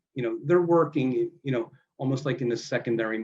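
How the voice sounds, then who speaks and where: A man talks with an American accent. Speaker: mortgage industry presenter. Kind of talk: webinar presentation. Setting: online webinar. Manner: casual, many fillers.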